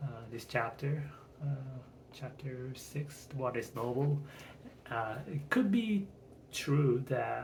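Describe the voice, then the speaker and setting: A man with a non-native accent mumbles at a very slow pace with long, frequent pauses, medium pitch and ordinary pitch variation, and audible room echo. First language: not English. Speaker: channel owner practicing speech. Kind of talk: casual monologue. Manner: mumbling; halting.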